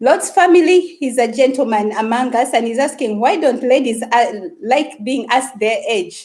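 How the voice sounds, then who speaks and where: A high-pitched woman with a Ugandan accent talks at a fairly slow pace, her tone animated and her intonation lively. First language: Luganda. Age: 30s. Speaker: YouTuber. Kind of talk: live stream chat.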